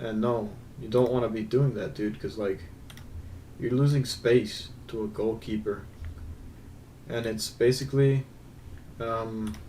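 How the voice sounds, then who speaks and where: The voice is somewhat breathy, with fairly even intonation. Long pauses come often. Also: man. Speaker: gaming video creator. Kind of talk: gameplay analysis commentary. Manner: slow; casual, hesitant with fillers.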